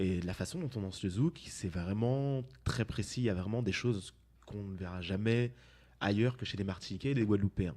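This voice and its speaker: Fairly quick and fairly low, a man's dark, mellow voice shows ordinary pitch variation on a very clean recording with a silent background. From Martinique. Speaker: dance company co-founder. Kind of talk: interview.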